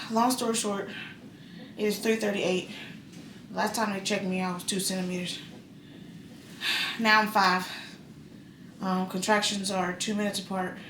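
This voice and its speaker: In a room with audible echo and noticeable background noise, a woman speaks at medium pitch in a monotone, flat intonation with long, frequent pauses. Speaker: vlogger giving birth. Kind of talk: casual vlog to camera. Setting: hospital room. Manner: fast.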